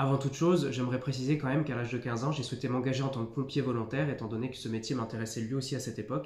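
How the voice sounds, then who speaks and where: Very fast talking from a man, the intonation fairly even. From northeastern France, near Nancy. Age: 20s. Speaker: youtuber, firefighter candidate. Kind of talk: mock oral exam presentation; tutorial. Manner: hesitant, many fillers.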